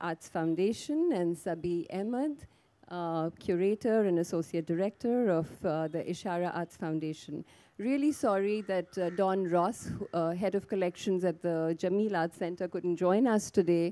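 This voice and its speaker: A woman talks at a moderate pace with ordinary pitch variation. Her fairly low voice has a dark, mellow tone. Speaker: panel moderator. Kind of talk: moderator introduction. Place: garden. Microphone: handheld.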